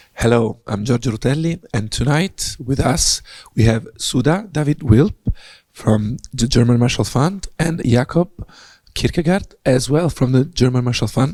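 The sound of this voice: Using a put-on character voice, a man speaks at a moderate pace and a medium pitch, sounding hoarse and raspy.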